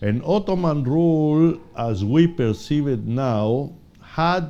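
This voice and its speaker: A man with a Spanish accent and lively intonation. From Chile. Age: 70s. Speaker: political science professor. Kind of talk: interview. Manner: halting, with many fillers.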